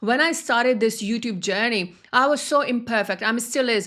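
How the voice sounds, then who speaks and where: A woman speaks in a high voice with ordinary pitch variation. The recording is very clean, with a silent background. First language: not English. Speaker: spiritual wealth coach. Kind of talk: motivational talk.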